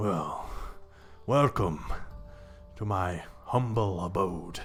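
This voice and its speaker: Clear music plays behind a man doing a put-on character voice, raspy and at a fairly low pitch. He speaks at a very slow pace with ordinary pitch variation. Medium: actual play. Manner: courteous, gentle.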